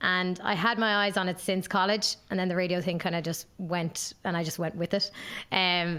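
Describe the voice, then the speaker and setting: A fairly low-pitched woman in a southeastern Irish accent, flat and monotone, at a fairly quick pace. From Ireland, Waterford. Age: 20s. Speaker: graduate brand ambassador, former radio presenter. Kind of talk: casual podcast interview.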